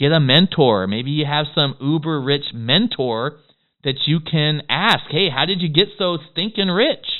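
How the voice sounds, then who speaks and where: A man with a fairly high pitch talks at a fairly slow pace with lively intonation. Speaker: business coach. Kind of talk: tutorial. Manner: animated.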